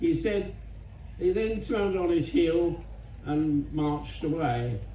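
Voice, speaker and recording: In a British accent, a man talks at a very slow pace. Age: 80s+. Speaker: war veteran. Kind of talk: speech to an audience.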